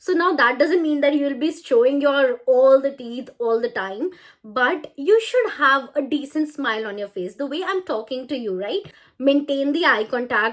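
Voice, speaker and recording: With an Indian accent, a woman speaks at a moderate pace in a high pitch with lively intonation. The recording is very clean, with a silent background. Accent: natural Indian English. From India, Chandigarh. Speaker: language trainer. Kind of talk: tutorial. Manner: smiling, talkative.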